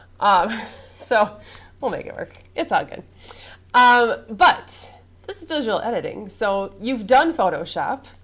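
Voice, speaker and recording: A woman at a fairly slow pace, high in pitch, with very wide pitch swings, big swings in loudness and long, frequent pauses. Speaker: college instructor. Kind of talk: classroom lecture. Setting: classroom.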